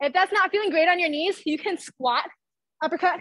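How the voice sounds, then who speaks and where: With an animated, upbeat, bright and sharp tone, a woman speaks with ordinary pitch variation in a dry sound with no echo and a quiet background. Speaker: fitness instructor. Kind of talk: live fitness class instruction, leading a workout. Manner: animated, upbeat, encouraging; fast, cue-driven, laughing and joking between cues. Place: gym.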